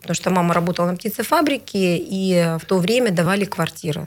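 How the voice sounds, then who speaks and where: A woman of medium pitch speaks very fast with lively intonation over noticeable background noise. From Siberia, Bratsk (Irkutsk region). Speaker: regional legislator. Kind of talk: interview. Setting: studio.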